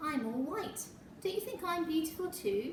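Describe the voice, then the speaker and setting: A woman uses a put-on character voice, squeaky and extremely high-pitched, at a moderate pace. Clear background noise and a slight echo are audible. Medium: read story.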